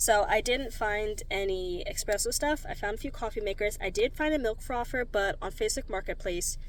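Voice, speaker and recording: Speaking with an American accent, this woman uses ordinary pitch variation at a moderate pace. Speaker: vlogger. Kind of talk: casual vlog chat. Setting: in a car.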